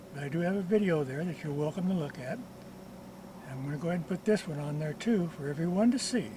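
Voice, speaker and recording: Talking very fast with hardly any pauses, a man uses a high voice and ordinary pitch variation. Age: 80s+. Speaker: retired mechanic, DIY car repair video maker. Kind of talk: tutorial. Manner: casual, with frequent hesitations.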